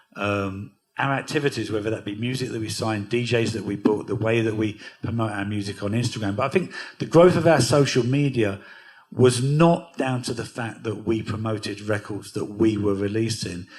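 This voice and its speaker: Amid audible room echo, a man speaks at a moderate pace and medium pitch with ordinary pitch variation. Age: 60s. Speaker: record label founder and DJ. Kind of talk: onstage interview at a music workshop.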